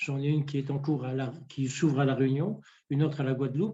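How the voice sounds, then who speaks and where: This man's voice sits fairly high in pitch, with a dark, mellow tone and a somewhat breathy quality. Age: 60s. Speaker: family constellation therapist and trainer. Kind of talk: interview. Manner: hesitant, many repetitions.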